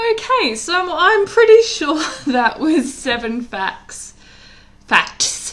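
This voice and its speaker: A woman speaks with lively intonation. There is noticeable background noise. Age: 30s. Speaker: vlogger. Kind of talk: casual chat. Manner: halting.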